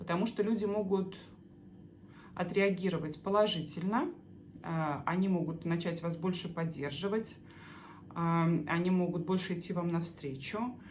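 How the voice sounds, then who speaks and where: Breaking her speech with long, frequent pauses, a woman with a fairly low pitch and a somewhat breathy voice keeps her intonation fairly even while audible room echo fills the recording. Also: moderate pace. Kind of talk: explainer monologue answering viewer questions. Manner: halting with many filler sounds.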